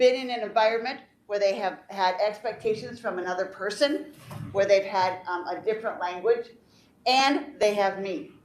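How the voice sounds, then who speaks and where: In a room with audible echo, a woman talks at a moderate pace in a fairly high pitch with ordinary pitch variation. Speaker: teacher. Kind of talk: presentation at a board meeting. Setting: board meeting. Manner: loud.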